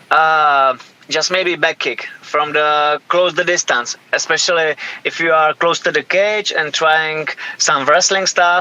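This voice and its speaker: At a very slow pace, a man talks with fairly even intonation at a fairly high pitch. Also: very even loudness. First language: Czech. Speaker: professional MMA fighter. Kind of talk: interview. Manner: halting, many hesitations.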